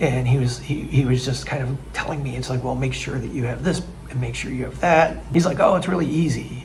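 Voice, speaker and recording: A man with an American accent speaks at a fairly quick pace with hardly any pauses, with audible room echo and noticeable background noise. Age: 60s. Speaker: expat vlogger. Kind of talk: casual vlog narration. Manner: halting, many restarts.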